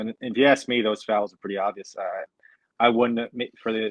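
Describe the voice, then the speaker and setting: Moderate pace, with an American accent. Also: man. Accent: New York (denied by speaker). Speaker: sports podcast host. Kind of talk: casual sports discussion.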